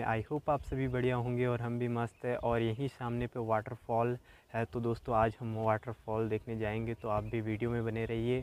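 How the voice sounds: A man's clear, smooth, slightly mellow voice at a medium pitch, moderate pace and flat monotone.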